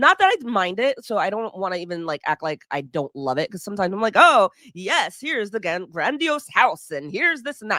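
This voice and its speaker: Loud and animated, a woman talks at a fairly quick pace with hardly any pauses, a bright, sharp tone and very wide pitch swings. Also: medium pitch for a woman. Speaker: podcast host. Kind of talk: solo podcast monologue.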